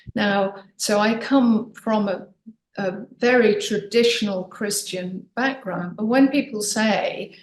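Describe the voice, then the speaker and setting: Words come out at a very slow pace. There is a somewhat breathy edge to the sound. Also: woman. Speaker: author and podcast guest. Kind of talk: casual interview chat. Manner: animated.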